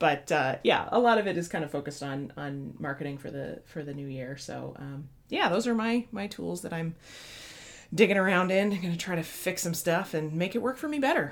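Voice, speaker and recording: Her voice carrying vocal fry, a woman with a fairly low pitch speaks at a fairly quick pace with lively intonation. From US Midwest. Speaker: podcast co-host. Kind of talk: casual chat.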